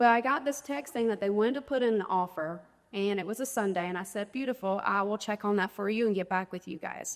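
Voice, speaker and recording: The pace is fairly quick as a woman talks. She speaks at a medium pitch and varies it in an ordinary way. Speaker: real estate agent and speaker. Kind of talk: conference presentation. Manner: fast; animated.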